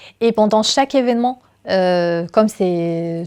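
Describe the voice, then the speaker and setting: A woman with a medium pitch and ordinary pitch variation talks over a quiet background. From Syria. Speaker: university technical secretary and stage manager. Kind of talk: interview testimony. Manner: halting, with frequent fillers.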